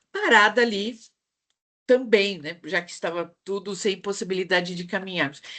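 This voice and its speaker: A woman speaks in a São Paulo accent. Her pace is moderate. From São Paulo, Brazil. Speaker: psychologist and speaker. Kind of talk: online talk to professional group. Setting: video call.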